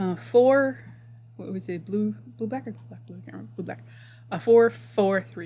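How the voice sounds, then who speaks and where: The speaker is soft-spoken, with a moderate pace and long, frequent pauses. Loudness swings a lot. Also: woman. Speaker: tabletop game streamer. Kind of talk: casual chat. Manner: whispering.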